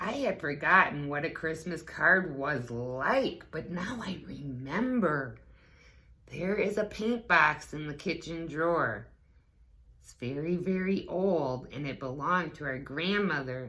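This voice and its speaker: A middle pitch marks this put-on character voice. Its delivery is fairly slow. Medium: read story.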